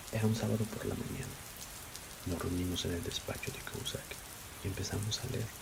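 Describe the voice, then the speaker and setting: Soft-spoken and whispering, a man talks at a fairly quick pace with long, frequent pauses, over noticeable background noise. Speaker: ASMR creator. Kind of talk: essay reading. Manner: whispered.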